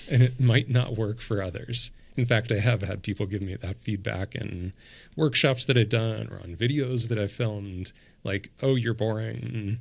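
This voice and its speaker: A man's somewhat breathy voice sits at a fairly low pitch. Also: ordinary pitch variation, very clean recording, silent background. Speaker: podcast host and coach. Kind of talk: casual chat. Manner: slow, leaves long pauses.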